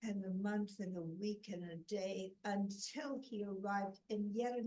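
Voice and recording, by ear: Someone reads aloud in a natural voice. Fairly even intonation holds throughout.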